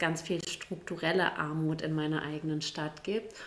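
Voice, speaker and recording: A woman's intonation stays monotone and flat as she talks at a moderate pace. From Gütersloh area, East Westphalia, Germany. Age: 40s. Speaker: state politician. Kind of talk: casual chat.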